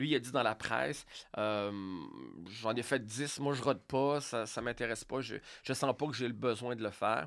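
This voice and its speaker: On a very clean recording with a silent background, a man speaks at a moderate pace and a medium pitch. His intonation is fairly even, with long, frequent pauses. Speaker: radio host and comedian. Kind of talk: casual interview.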